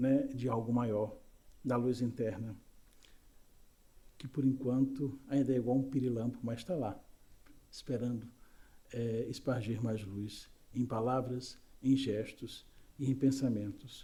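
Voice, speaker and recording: A man speaks at a very slow pace, his voice medium in pitch and somewhat breathy, with a dark, mellow tone. Long, frequent pauses break up his monotone, flat delivery, and room echo is audible. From Brazil, Recife (Pernambuco). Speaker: spiritist lecturer. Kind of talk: lecture. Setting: spiritist center, live audience and YouTube stream.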